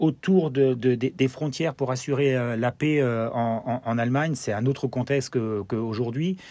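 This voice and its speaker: With a German accent, a man speaks at a moderate pace in a dark, mellow tone, his medium pitch showing ordinary variation and his speech having hardly any pauses. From Germany (Freiburg, French army garrison). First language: German (speaking French). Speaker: former pro footballer, TV football pundit. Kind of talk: interview. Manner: halting, many fillers and repetitions.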